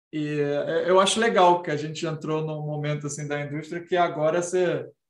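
Audible room echo surrounds a man speaking at a fairly slow pace. His pitch is fairly high, with fairly even intonation. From Brazil. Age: 30s. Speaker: senior designer and indie game developer. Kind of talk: casual interview chat.

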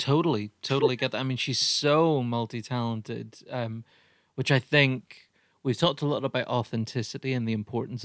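In an Irish accent, a man at medium pitch talks at a fairly quick pace with fairly even intonation, on a very clean recording with a silent background and a dry, close sound with no echo. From Ireland. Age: 30s. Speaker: podcast host and comedian. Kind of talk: casual chat.

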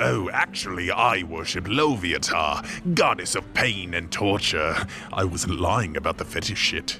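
A man puts on a character voice with a very deep, low pitch, speaking at a moderate pace. Clear music plays in the background. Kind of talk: comic audio drama, folksy fantasy innkeeper. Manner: hospitable, rustic storyteller turned oddly cheerful.

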